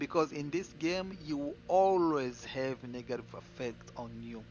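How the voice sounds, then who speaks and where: Music plays in the background while a man talks at a fairly slow pace. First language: not English. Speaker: gaming streamer. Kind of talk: game build tutorial. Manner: casual, repetitive with fillers.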